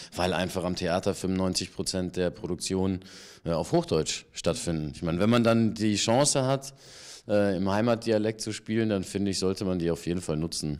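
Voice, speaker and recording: The recording is very clean, with a silent background. A man speaks at a moderate pace with a fairly low pitch and ordinary pitch variation. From Germany (Paderborn, San Francisco, Ludwigsburg). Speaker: actor and voice actor. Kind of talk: casual interview. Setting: theatre bar.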